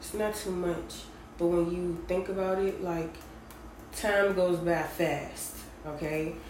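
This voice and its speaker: Over noticeable background noise and audible room echo, a woman with a fairly low pitch talks in a flat monotone at a very slow pace, with long, frequent pauses. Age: 20s. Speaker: podcast host. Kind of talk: casual personal monologue.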